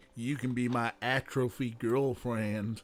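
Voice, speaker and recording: Using a put-on character voice, a man talks at a medium pitch with monotone, flat intonation and a fairly slow pace. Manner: exaggerated, mock.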